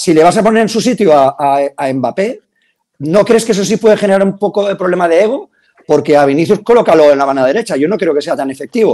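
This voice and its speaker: Talking at a very fast pace, a man uses a high pitch and lively intonation. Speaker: sports journalist. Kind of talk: casual debate. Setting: video call.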